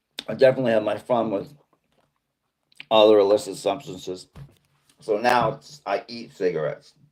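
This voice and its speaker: With a Boston accent, a man speaks at a moderate pace and fairly even intonation, leaving long, frequent pauses. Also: medium pitch for a man, big swings in loudness. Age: 50s. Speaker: live streamer. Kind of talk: casual chat. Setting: livestream reading chat.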